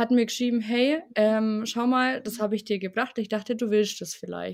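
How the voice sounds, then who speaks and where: An unremarkable speaking voice from a woman, fairly high-pitched and at a moderate pace, in a very clean recording with a silent background. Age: 20s. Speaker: bereaved interviewee. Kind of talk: personal testimony in interview. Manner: casual, colloquial.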